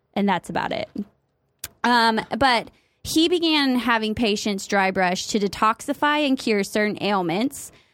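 In a Midwestern accent, a woman speaks at a fairly slow pace with lively intonation. The recording is very clean, with a silent background. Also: fairly high pitch for a woman. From US Midwest. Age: 30s. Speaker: podcast co-host. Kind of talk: casual chat.

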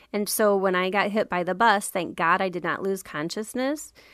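A woman with an American accent speaks at a fairly quick pace with fairly even intonation, in a normal speaking voice. The recording is very clean, with a silent background. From Iowa, US Midwest. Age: 40s. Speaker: eldercare consultant. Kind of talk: interview.

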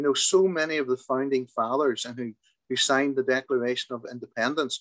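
A man with a Derry accent at medium pitch, fairly quick pace and fairly even intonation, in a dry, close sound with no echo. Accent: Northern Irish (Derry). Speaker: tour guide. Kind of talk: interview.

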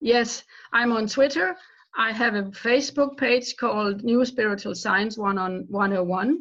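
In a Danish accent, a woman speaks at a very slow pace. Her pitch is fairly high, with ordinary variation. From Denmark. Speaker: author. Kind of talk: interview.

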